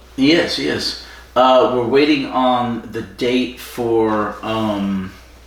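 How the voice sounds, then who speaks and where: Speaking very slowly with an American accent, a man at a medium pitch shows ordinary pitch variation, with audible room echo and noticeable background noise. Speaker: podcast co-host. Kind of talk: casual chat. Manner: projects voice, stage presence.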